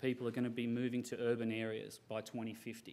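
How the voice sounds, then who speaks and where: The speaker talks at a fairly quick pace with an Australian accent. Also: man. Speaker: software company representative. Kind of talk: conference presentation.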